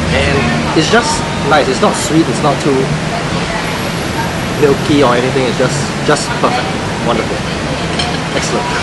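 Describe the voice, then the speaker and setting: Over loud background noise, a man speaks at a moderate pace with ordinary pitch variation and long, frequent pauses. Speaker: show host on a lunch date. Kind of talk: casual chat over lunch. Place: cafe.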